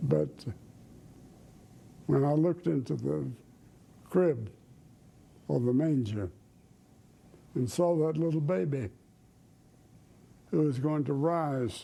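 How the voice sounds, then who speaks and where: A very slow pace in a Southern US accent, with a dark, mellow tone, lively intonation and long, frequent pauses. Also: man. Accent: Southern American. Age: 90s; old. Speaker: evangelist preacher. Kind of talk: interview answer.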